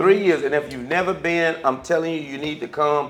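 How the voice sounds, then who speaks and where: Noticeable noise runs behind the recording. A man with a Southern US accent talks very fast at a fairly high pitch. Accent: Southern American. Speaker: talk show host. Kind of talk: casual chat. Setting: cigar lounge.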